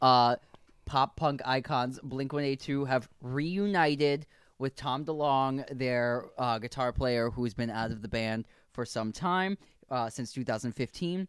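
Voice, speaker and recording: A man with an unremarkable speaking voice speaks at a fairly slow pace and medium pitch, with ordinary pitch variation and a dry, close sound with no echo. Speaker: podcast host. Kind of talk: casual chat.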